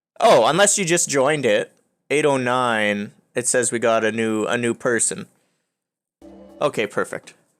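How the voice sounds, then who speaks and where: Over music in the background, the speaker keeps a moderate pace with long, frequent pauses. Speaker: streamer. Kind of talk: casual chat. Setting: live stream.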